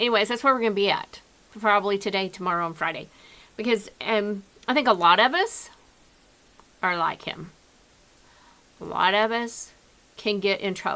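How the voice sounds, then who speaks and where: The speech has an Oklahoma accent. Long pauses come often. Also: moderate pace. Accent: Oklahoma regional twang. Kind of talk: conversational, teaching or preaching.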